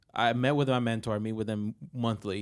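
Over a very clean recording with a silent background, a man speaks at a medium pitch with fairly even intonation. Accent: Spanish. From Puerto Rico. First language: Spanish. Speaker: marketing agency professional. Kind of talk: panel discussion.

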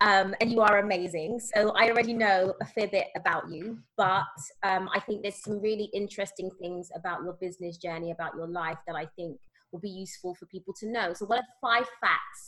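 A woman with a medium pitch talks at a fairly quick pace in an enthusiastic, bright, sharp tone, with big swings in loudness. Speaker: podcast host and conference organizer. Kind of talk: interview chat.

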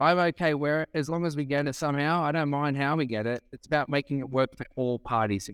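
A man with an Australian accent, fairly high pitch and ordinary pitch variation, talking at a very fast pace in a dry, close sound with no echo. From Sydney, Australia. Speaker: real estate auctioneer. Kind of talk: casual interview chat. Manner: animated, talkative.

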